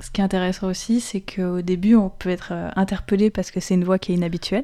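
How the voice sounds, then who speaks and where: Here a woman speaks with a dark, mellow tone at medium pitch. Her pace is fairly quick, her intonation fairly even, and the recording very clean with a silent background. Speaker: radio host. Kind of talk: casual chat. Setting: studio.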